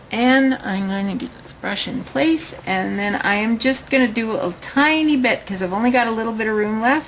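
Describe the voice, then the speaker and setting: Heard with audible room echo, a woman with a Canadian accent and a fairly high pitch speaks at a fairly slow pace with ordinary pitch variation. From Canada (Winnipeg). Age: 40s. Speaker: beauty consultant. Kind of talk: makeup tutorial. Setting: home, at desk. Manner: casual, chatty.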